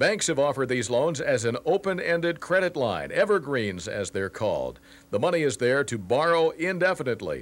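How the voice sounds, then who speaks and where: With vocal fry and a fairly high pitch, a man talks at a fairly quick pace with very wide pitch swings on a very clean recording with a silent background. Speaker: business reporter. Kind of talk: formal TV newsreading, business report. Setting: TV studio newscast. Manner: formal; brisk, even, professional delivery.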